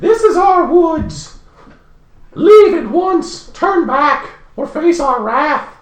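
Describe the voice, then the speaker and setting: A put-on character voice at an extremely high pitch, delivered at a very slow pace with a slight echo. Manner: threatening, warning.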